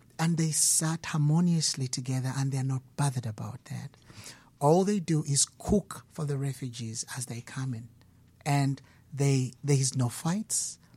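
A man with a dark, mellow tone and a somewhat breathy, fairly high voice speaks at a fairly slow pace with ordinary pitch variation. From Uganda. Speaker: musician. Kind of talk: interview. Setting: studio.

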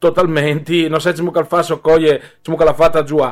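Fairly quick and fairly high-pitched, a man talks in an ordinary speaking voice. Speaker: sports radio host. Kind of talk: radio sports talk.

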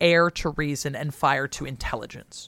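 A woman with an American accent speaks at a fairly slow pace, her pitch very deep and low with ordinary variation. The recording is very clean, with a silent background. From US West Coast. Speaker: historian, podcast co-host. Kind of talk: casual chat and historical explainer. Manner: animated.

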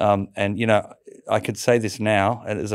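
This man, with an Australian accent and a fairly low pitch, talks at a fairly quick pace in a flat monotone on a very clean recording with a silent background. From Sydney, Australia. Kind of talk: interview testimony.

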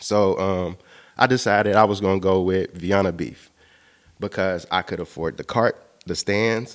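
A man with a very deep, low pitch talks at a moderate pace and with fairly even intonation over a very clean recording with a silent background. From Chicago, South Side. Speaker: multimedia artist and clothing entrepreneur. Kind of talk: interview.

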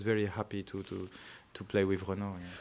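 A man speaks with a French accent. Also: very clean recording, silent background. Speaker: orchestra conductor. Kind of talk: interview. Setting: concert hall. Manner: halting.

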